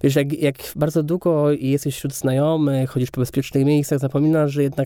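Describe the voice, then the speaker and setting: A dark, mellow tone colors this man's voice. It sits fairly high in pitch. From Kędzierzyn-Koźle, Silesia, Poland. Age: 30s. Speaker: film director. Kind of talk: interview conversation.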